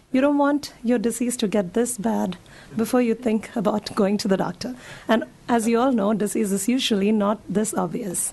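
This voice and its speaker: Against noticeable background noise, a woman speaks with very even loudness and ordinary pitch variation. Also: fairly high pitch for a woman, moderate pace. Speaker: physician giving a talk to seniors. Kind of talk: public health talk.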